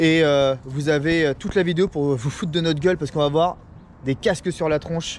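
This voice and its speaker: A man speaks in a normal speaking voice at a fairly quick pace. His pitch is fairly high and his intonation fairly even. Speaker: amateur runner and video blogger. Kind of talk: casual vlog talk. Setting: outdoors at race start.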